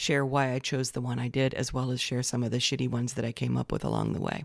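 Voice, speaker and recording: The sound has no echo and stays dry and close. It is a very clean recording of a woman, with a silent background. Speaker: podcast host. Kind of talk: casual solo podcast talk. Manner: conversational, with false starts.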